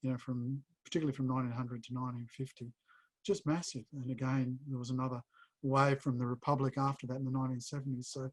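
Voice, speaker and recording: A man with an Australian accent at a very fast pace, medium pitch and flat, monotone intonation, in a dry, close sound with no echo. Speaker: publisher and editor. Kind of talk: Q&A interview. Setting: video call. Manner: halting.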